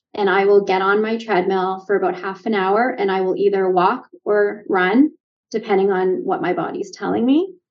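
A woman with a Canadian accent and an ordinary speaking voice, medium in pitch, at a moderate pace. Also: ordinary pitch variation. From Canada. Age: 50s. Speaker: leadership coach and nurse. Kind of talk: casual interview.

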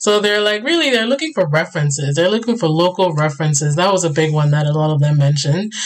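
Woman with an American accent and a very deep, low pitch, against noticeable background noise. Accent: American-sounding with some British. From Ghana (Accra). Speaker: immigrant guest sharing newcomer experience. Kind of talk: casual chat.

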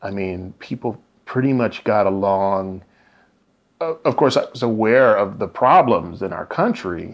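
A man speaks with an American accent at a fairly low pitch. His pace is fairly slow, and his pitch varies in an ordinary way. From US Midwest, Indianapolis. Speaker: writer. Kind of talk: interview. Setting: at home.

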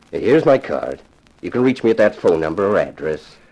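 A man's put-on character voice at a low pitch and a moderate pace, with big pitch swings and a slightly mellow tone.

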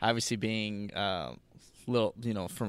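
The recording is very clean, its background silent. An ordinary speaking voice keeps a moderate pace and fairly even intonation. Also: man. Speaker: co-host, sports analyst. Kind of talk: casual sports podcast chat.

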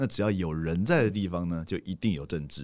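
A man talks at a very fast pace in a very clean recording with a silent background. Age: 40s. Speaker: street dance photographer and critic. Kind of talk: casual chat.

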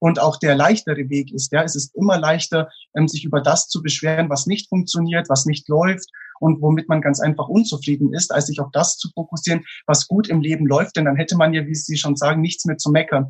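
Using a plain, everyday voice, a man speaks at a fairly high pitch and fairly quick pace with fairly even intonation. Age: 20s. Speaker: motivational speaker. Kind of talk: interview.

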